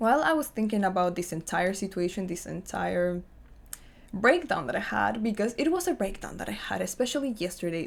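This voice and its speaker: A woman's voice with vocal fry and a non-native accent, lively intonation, moderate pace. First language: not English. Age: 20s. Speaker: lifestyle vlogger. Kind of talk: personal vlog monologue.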